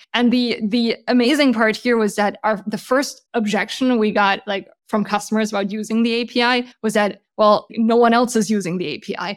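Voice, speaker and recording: A woman's fairly high voice with a German accent, fairly even intonation, a moderate pace and hardly any pauses. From Germany. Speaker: startup founder and CEO. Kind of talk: interview.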